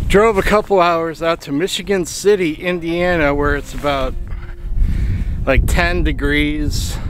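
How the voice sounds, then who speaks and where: With clear music in the background, a man speaks at a fairly slow pace and fairly even intonation, the sound dry with no echo. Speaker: photographer vlogger. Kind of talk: casual vlog chat. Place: waterside.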